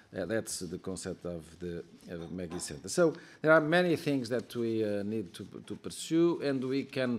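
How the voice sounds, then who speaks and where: In a very clean recording with a silent background, a man with a Portuguese accent speaks at a medium pitch with very wide pitch swings. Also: moderate pace, big swings in loudness. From Portugal. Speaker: member of European Parliament. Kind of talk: conference speech. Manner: halting, many fillers and repetitions.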